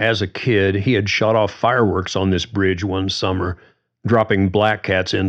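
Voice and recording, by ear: Intonation stays fairly even as a speaker reads aloud in a natural voice. Behind it, the background is quiet.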